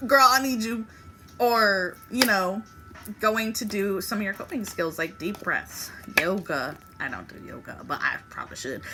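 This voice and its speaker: An animated tone with lively intonation at a fairly slow pace, over noticeable background noise. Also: woman. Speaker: tarot reader. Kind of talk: tarot reading. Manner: casual, animated.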